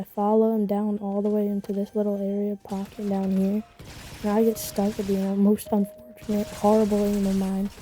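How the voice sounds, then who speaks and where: Over noticeable background noise, a woman speaks at a fairly quick pace. Her pitch is medium and her intonation is monotone and flat. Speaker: gaming youtuber. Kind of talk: gameplay commentary voiceover. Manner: stuttering at times. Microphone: quiet voice, game audio loud over it.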